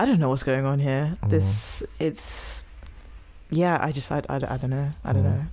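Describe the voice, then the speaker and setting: Over noticeable background noise, a woman with a British accent speaks at a moderate pace. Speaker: podcast host. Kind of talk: casual banter podcast.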